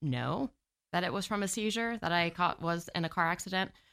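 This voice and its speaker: This woman talks at a fairly quick pace with vocal fry and a bright, sharp tone, in a very clean recording with a silent background. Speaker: marketing specialist and business owner. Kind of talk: casual interview. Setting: studio.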